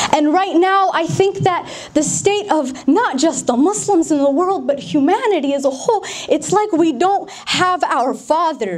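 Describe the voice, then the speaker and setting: With a General American accent, a woman at an extremely high pitch talks at a fairly slow pace with lively intonation over noticeable background noise. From Denver, Colorado, USA. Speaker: spoken word poet. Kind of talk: public speech.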